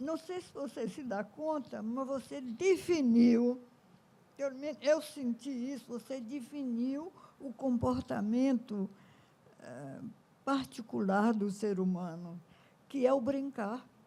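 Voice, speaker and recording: A woman's high-pitched, dark and mellow voice with lively intonation, big swings in loudness and a very slow pace. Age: 90s. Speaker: educator and ethnomusicologist. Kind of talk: panel discussion.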